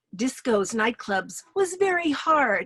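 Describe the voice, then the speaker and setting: A woman with an American accent, at a fairly slow pace, with very wide pitch swings. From New York City. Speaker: storyteller. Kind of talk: personal story performance.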